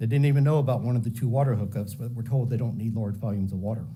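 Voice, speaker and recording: With audible room echo, a man talks at a very fast pace in a somewhat breathy voice with a dark, mellow tone and ordinary pitch variation. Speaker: public commenter at county meeting. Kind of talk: public comment speech. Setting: public meeting.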